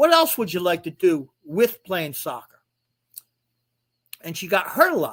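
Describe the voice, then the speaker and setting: A man with a high voice speaks at a fairly slow pace with lively intonation. His loudness swings a lot, and he leaves long, frequent pauses. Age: 60s. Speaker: author and non-custodial father. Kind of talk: live stream interview. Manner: halting, many repeated words.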